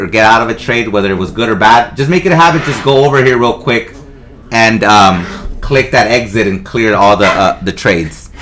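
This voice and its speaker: With lively intonation and a medium pitch, a man talks at a fairly quick pace against noticeable background noise. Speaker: trading instructor. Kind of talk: tutorial. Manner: fast.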